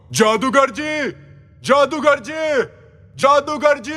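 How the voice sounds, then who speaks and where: A man puts on a character voice, pitched extremely high and delivered at a fairly slow speed. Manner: shouting.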